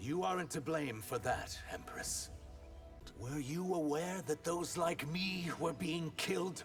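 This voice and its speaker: A put-on character voice from a man, fairly high-pitched and fairly slow, with clear background noise. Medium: video game. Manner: respectful, earnest.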